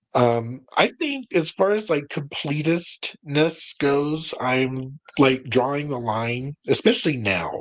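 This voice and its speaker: With an American accent, a man talks at a very slow pace in a medium pitch with ordinary pitch variation. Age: 60s. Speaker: music collector. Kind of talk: casual chat.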